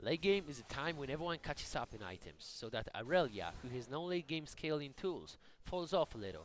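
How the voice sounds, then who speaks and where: A man with a non-native accent, fairly high in pitch, lively intonation at a moderate pace. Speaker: gamer. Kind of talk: game tutorial narration.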